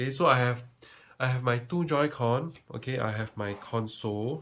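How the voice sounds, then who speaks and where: Mumbling at a moderate pace, a man talks in a medium pitch with ordinary pitch variation. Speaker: tech youtuber. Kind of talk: tutorial.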